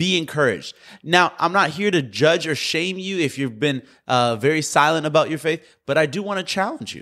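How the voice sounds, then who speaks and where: The voice has a warm, animated tone. The recording is very clean, with a silent background. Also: man. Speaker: podcast host and preacher. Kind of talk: fervent preaching, sermon-like exhortation. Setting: podcast recording. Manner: emphatic and urgent, stressing key words; warm, encouraging, animated.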